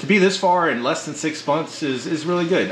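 A man at a moderate pace, with audible room echo and light background noise. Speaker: aquarium hobbyist channel host. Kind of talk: casual tour commentary. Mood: pleased, upbeat. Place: home room.

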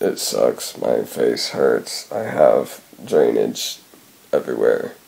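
Noticeable background noise sits behind the voice. Delivery is very slow, with fairly even intonation. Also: man, extremely high pitch for a man. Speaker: vlogger. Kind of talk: casual vlog monologue. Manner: halting, many fillers.

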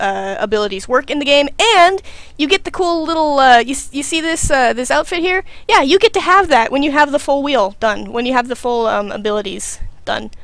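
A woman's high-pitched voice at a fairly quick pace, with very wide pitch swings and a dry sound with no echo. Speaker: game streamer. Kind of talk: casual gameplay commentary.

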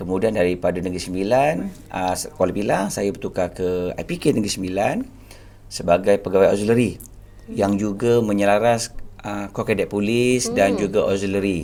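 A man with a fairly low pitch, a moderate pace, fairly even intonation, and an ordinary speaking voice. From Malaysia, Selangor (Banting). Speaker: police officer. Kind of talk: interview. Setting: studio.

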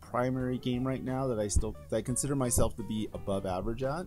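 A man's medium-pitched voice at a fairly quick pace with lively intonation, music in the background. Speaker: gamer and streamer. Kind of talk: casual talk to camera. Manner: hesitant, with stutters and pauses.

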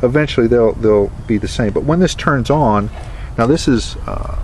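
A man speaks at a moderate pace with fairly even intonation. Clear background noise can be heard.

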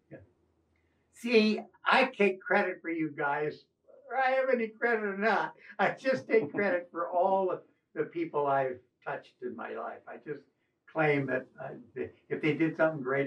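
A man talks at a moderate pace with a high pitch and lively intonation, his loudness swinging widely. Long, frequent pauses break up his speech against a quiet background. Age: 80s+. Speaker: retired coast guard officer. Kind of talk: casual chat. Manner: halting. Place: home room.

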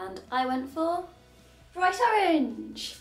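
A woman's voice carries audible room echo, with faint music in the background. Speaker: cycling vlogger. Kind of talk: casual vlog chat. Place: home room. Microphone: camera far.

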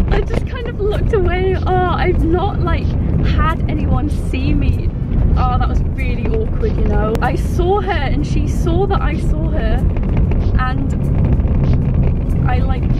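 Music plays in the background as a woman speaks at a fairly slow pace. She leaves long, frequent pauses. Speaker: vlogger driving. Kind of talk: casual vlog chat. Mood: nervous, embarrassed, giggly. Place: car. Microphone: phone near.

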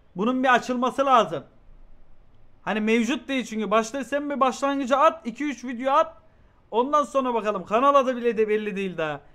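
Over a quiet background, a man with an extremely high pitch speaks at a moderate pace in a raised, projected voice, his tone bright, sharp and animated, with ordinary pitch variation. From Turkey. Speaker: streamer reacting to a video. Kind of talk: casual live-stream chat. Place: home room. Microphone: headset.

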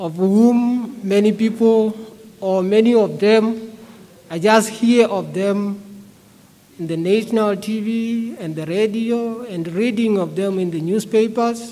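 A man talks at a very slow pace with fairly even intonation. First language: a Bantu language, not English. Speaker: preacher. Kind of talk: sermon. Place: church. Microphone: podium.

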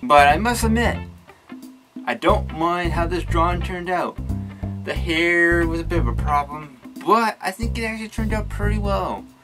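Clear music plays behind a man speaking at a moderate pace. He leaves long, frequent pauses. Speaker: artist vlogger. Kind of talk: casual vlog chat.

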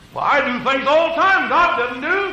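With noticeable background noise behind him, a man speaks at a fairly slow pace in a raised, projected voice. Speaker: preacher. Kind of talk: church sermon preached to a congregation. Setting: church pulpit recorded live.

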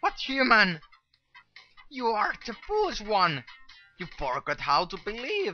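Fairly slow, fairly high-pitched, a put-on character voice. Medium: game stream. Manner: gloating, then defiant while dying.

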